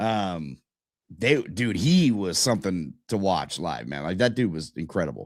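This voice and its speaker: A man's very deep, low voice sounds strained, moving at a very slow pace with lively intonation. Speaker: podcast host. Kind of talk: casual chat. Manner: strained, pushing volume.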